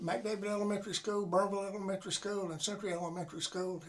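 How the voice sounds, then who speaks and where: A man with an American accent talks at a very fast pace, his pitch high and his intonation fairly even. Noticeable background noise sits behind him. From US South (Florida panhandle). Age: 80s+. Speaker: war veteran. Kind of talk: interview. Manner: halting.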